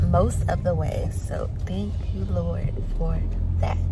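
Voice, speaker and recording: Music behind a woman talking. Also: dry sound with no echo. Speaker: family vlogger. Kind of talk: casual vlog chat. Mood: cheerful, upbeat. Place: car. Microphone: phone near.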